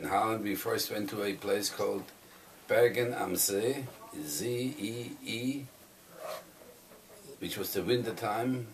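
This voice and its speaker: A man speaks very slowly with a German accent, leaving long, frequent pauses. Noticeable background noise and audible room echo surround him. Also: medium pitch for a man, ordinary pitch variation. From southern Germany. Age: 80s+. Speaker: Holocaust survivor. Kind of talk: oral history testimony. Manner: halting.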